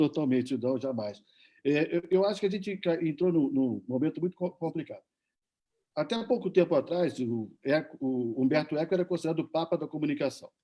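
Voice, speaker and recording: A man's fairly high voice at a fairly quick pace, a plain, everyday voice with ordinary pitch variation. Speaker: journalist. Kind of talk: panel debate.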